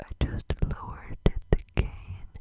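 Amid loud background noise, a soft-spoken man is whispering in a dry sound with no echo. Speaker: ASMR creator. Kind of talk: soft-spoken ASMR chat. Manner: soft close-mic ASMR whisper. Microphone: studio mic.

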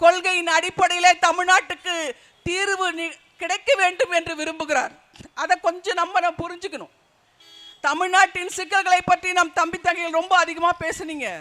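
Raised and projected, a man's extremely high voice carries a bright, sharp tone over fairly even intonation. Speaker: party speaker. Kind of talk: political rally speech.

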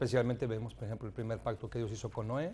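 This man's voice has a dark, mellow tone and sits at a medium pitch. Vocal fry runs through it. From Mexico. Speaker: pastor. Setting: TV studio. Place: studio. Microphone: lapel.

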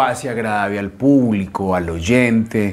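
Lively intonation at a very slow pace. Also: man. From Colombia, Antioquia (paisa). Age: young. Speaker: radio announcer and station director. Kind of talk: interview. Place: studio. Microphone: lapel.

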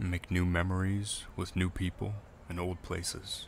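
This man's voice is very deep and low in pitch, and somewhat breathy. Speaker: voice actor. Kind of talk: reflective narration about heartbreak and letting go. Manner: slow, thoughtful, emotional.

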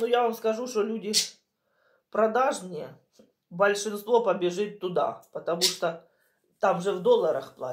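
A woman at a very slow pace over a quiet background. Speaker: home vlogger. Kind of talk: casual vlog chat. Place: kitchen. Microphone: phone near.

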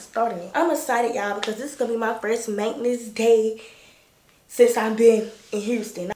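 A woman puts on a raspy character voice, fairly high in pitch and fairly quick in pace. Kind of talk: casual vlogging.

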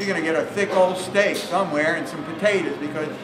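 Over noticeable background noise, a man talks at a fairly quick pace with a high pitch. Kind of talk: cooking demonstration to live audience. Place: hall. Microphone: camera far.

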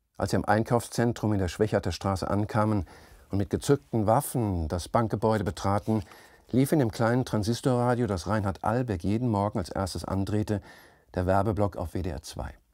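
In a dry sound with no echo and a quiet background, a man speaks at a moderate pace with a fairly low pitch, ordinary pitch variation and a dark, mellow tone. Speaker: author reading his own novel. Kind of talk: literary audiobook reading, narrated third-person prose with voiced dialogue. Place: studio.

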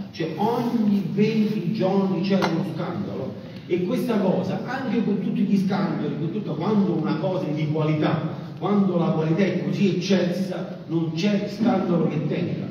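Strong room echo and light background noise surround a man speaking at a fairly slow pace in a high voice. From Campania, Sele plain. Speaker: farmer and agricultural association leader. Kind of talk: conference speech. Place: hall.

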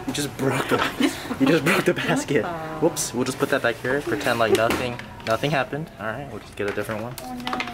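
With music in the background, a man talks at a very fast pace with ordinary pitch variation. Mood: playful, amused. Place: shop. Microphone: phone near.

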